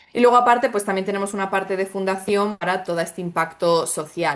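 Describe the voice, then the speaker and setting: Talking at a very fast pace in a Spanish accent, a woman uses medium pitch and lively intonation. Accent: Spanish (Spain). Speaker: startup founder in sargassum recycling. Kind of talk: webinar panel answer.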